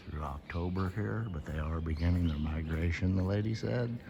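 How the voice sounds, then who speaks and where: A man whispers at a moderate pace in an American accent, with noticeable background noise around him. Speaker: vlogger, former coal miner. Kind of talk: casual vlog narration. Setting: underground cave tour. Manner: whispering; normally loud and talkative.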